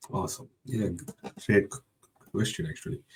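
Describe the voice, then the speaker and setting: This man's voice has a dark, mellow tone, sounds somewhat breathy, and moves with lively intonation. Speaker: IT professional. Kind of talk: interview. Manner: halting.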